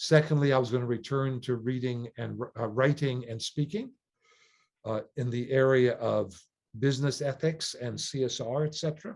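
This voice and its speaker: A somewhat breathy man speaks at a moderate pace. His pitch is medium with ordinary pitch variation. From Canada. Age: 60s. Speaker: sailor and non-profit leader. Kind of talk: interview.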